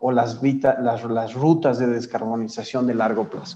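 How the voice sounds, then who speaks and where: Audible room echo surrounds a man with a dark, mellow tone, speaking at a moderate pace with fairly even intonation. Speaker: climate policy trainer. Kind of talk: lecture. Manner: halting, many fillers.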